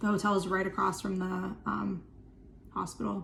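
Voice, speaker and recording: Over noticeable background noise and audible room echo, a woman talks at a fairly quick pace. Her pitch sits in the medium range. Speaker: chronic illness vlogger. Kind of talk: casual vlog talk to camera. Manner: fast; filler-heavy, lots of um and like.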